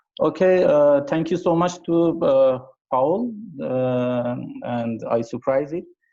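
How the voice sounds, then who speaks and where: A man with an Iranian accent talks in a fairly high voice with a dark, mellow tone. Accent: Iranian (Persian) English. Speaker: amateur astronomer, presenter. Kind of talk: conference talk. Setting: video call. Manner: halting.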